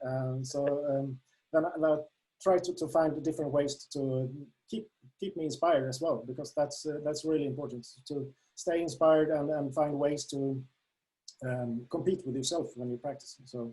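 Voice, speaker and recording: A man with a Swedish accent, fairly high-pitched and somewhat breathy, in a dark, mellow tone with fairly even intonation and long, frequent pauses. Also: moderate pace. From Sweden. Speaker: darts app creator. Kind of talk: interview. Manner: halting, many fillers.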